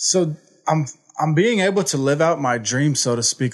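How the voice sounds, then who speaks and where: A man talks with an American accent. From Houston, Texas. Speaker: recovery program staff member, former addict. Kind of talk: testimony. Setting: studio. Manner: energetic.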